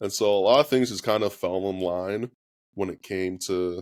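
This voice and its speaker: In a very clean recording with a silent background, a man with an American accent speaks at a moderate pace and fairly low pitch. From California, Norco. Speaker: former college quarterback and country singer. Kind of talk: interview.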